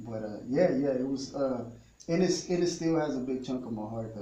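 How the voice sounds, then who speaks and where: A man's fairly quick speech, with ordinary pitch variation, comes through noticeable background noise and audible room echo. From Texas, Ennis near Dallas; teen years in northern Mexico border town. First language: Spanish. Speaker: musician. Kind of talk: radio interview.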